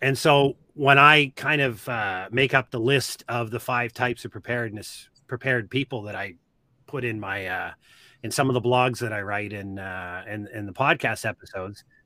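A man with a Nova Scotia accent speaks at a moderate pace with a medium pitch, ordinary pitch variation, a bright, sharp tone and big swings in loudness, recorded very cleanly with a silent background and a dry, close sound with no echo. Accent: Nova Scotia Canadian English. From Nova Scotia, Canada. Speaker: army veteran and preparedness educator. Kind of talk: podcast interview.

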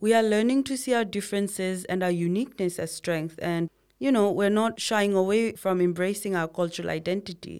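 Speaking fast with hardly any pauses, a woman with a Nepali accent keeps a fairly quick pace in a medium pitch with ordinary pitch variation, on a very clean recording with a silent background. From Bhutanese refugee camps in Nepal. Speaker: podcast co-host. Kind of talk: casual scripted conversation. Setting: studio.

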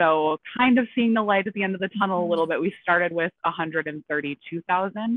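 Using an ordinary speaking voice, a woman with a fairly low pitch talks at a moderate pace with ordinary pitch variation and hardly any pauses. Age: 20s. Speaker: personal finance content creator. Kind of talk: casual chat.

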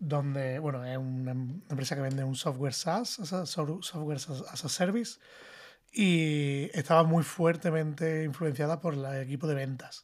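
A man's plain, everyday voice, fairly high in pitch, with ordinary pitch variation and a fairly slow pace. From Spain. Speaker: design director. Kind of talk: casual panel discussion.

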